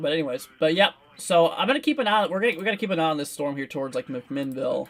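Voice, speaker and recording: A man's high voice at a very fast pace, with lively intonation and noticeable background noise. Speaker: severe weather livestreamer. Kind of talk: live weather commentary. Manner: casual, rambling with fillers.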